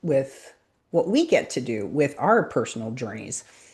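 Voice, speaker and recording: A woman with a Montreal accent, dark and mellow in tone, against a quiet background. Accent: Canadian English, Montreal. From Montreal, Quebec, Canada. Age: 50s. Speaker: business coach and brand strategist. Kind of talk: interview self-introduction.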